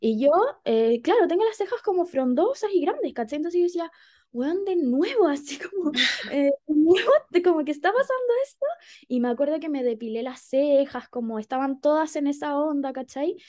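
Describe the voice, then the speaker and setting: A woman's high-pitched voice in a Chilean accent, dark and mellow in tone, with lively intonation at a moderate pace. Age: 20s. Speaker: psychologist and feminist activist. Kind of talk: casual chat.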